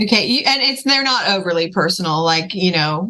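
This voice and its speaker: Against noticeable background noise, a woman with a fairly low voice talks at a fairly quick pace with lively intonation. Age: 50s. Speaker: podcast host and filmmaker. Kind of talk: interview chat.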